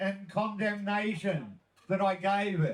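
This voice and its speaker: This man speaks with an Australian accent. His pace is very slow. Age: 60s. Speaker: cannabis activist. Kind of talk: speech.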